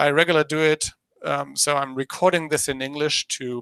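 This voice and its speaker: A man with a German accent speaks at a fairly high pitch in a bright, sharp tone. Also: dry, close sound with no echo. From Germany. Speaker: business presenter. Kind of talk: presentation dry run. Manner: halting, many fillers.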